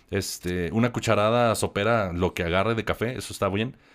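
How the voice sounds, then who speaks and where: Recorded very cleanly against a silent background, a man talks at a moderate pace in a fairly low pitch with ordinary pitch variation. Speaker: musician. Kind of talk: casual chat. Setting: studio.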